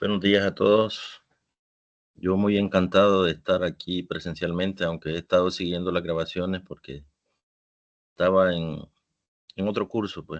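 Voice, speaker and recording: Over a quiet background, a man speaks with a very deep, low pitch. His intonation is monotone and flat, broken by long, frequent pauses. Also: moderate pace. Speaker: teacher taking a course. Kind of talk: testimony. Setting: online class session. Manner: can sound angry or stern.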